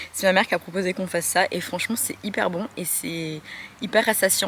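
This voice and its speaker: The speech comes at a fairly quick pace against noticeable background noise. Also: woman. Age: 20s. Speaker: vlogger and small business owner. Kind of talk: casual vlog. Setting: at home.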